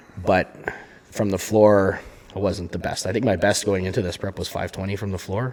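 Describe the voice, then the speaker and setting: Over noticeable background noise, someone with a Canadian accent speaks fairly quickly in a monotone, flat intonation. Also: man, fairly low pitch for a man. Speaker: strongman competitor and podcast co-host. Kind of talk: casual chat. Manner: loud. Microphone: volume turned down, too quiet at first.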